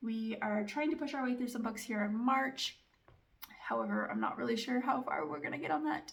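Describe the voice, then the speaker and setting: Speaking at a fairly quick pace, a woman uses a fairly high pitch with very wide pitch swings. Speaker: family vlogger and book reviewer. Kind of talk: casual book review chat. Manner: fast; animated.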